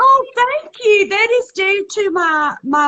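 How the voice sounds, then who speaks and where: With a strong Southern US accent, a woman talks at a fairly slow pace, her pitch swinging very widely. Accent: thick Southern US. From US South, South Carolina small town. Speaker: reality TV contestant and comedian. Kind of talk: interview.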